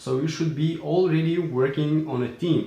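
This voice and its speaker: A man speaks in a fairly high voice with a non-native accent. Audible room echo surrounds him. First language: not English. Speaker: entrepreneur vlogger. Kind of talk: casual vlog talk. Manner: hesitant with fillers.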